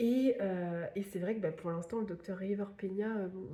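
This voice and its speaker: A woman at a medium pitch, somewhat breathy, with a dark, mellow tone. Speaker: book YouTuber. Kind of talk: casual vlog book review. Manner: hesitant, many fillers.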